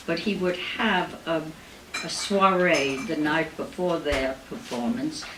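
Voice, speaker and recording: Against noticeable background noise and audible room echo, a woman talks at a very slow pace with a fairly low pitch. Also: lively intonation. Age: 90s. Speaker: Broadway performer and cabaret singer. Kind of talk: stage patter between songs. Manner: halting.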